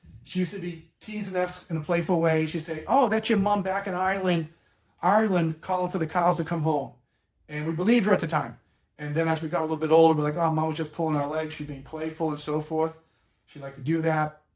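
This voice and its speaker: Talking very fast with a Boston accent, this man has a fairly high pitch and fairly even intonation. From Boston, Massachusetts (Dorchester). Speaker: elder law attorney. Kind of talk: educational talk with personal anecdote. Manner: conversational, plain-spoken.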